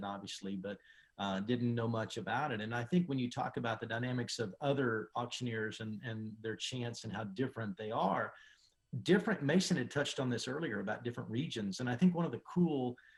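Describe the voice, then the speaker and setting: Somewhat breathy, a man talks at a fairly quick pace. His pitch is medium, with ordinary variation. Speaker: auctioneer. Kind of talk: interview answer. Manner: thoughtful, relaxed, with filler words.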